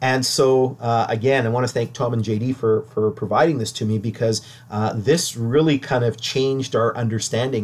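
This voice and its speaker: A man speaks with a Canadian accent. His voice is somewhat breathy, with fairly even intonation. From Ontario, Canada. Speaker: local historian presenter. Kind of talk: lecture. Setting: online livestream presentation. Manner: halting.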